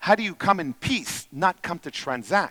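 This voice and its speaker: Bright and sharp in tone, a man speaks with an Israeli accent at a high pitch, his pitch swinging very widely, in a dry, close sound with no echo. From Israel, then Canada from age ten. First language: Hebrew. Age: 40s. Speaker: entrepreneur and speaker. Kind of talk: conference talk.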